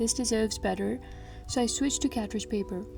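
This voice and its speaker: A woman with a non-native accent over music in the background. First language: not English. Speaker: sticker artist. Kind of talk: casual voiceover narration.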